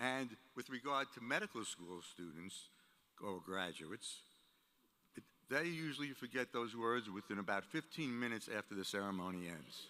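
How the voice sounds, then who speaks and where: Bright and sharp in tone, this man's medium-pitched voice moves at a moderate pace with lively intonation. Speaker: university executive, commencement speaker. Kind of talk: commencement speech.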